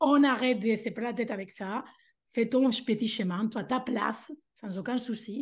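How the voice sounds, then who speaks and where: A woman with an animated tone speaks at a moderate pace and a fairly high pitch with ordinary variation, over a quiet background. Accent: Spanish. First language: Spanish (speaking French). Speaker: language teacher and mentor for teachers. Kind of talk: interview.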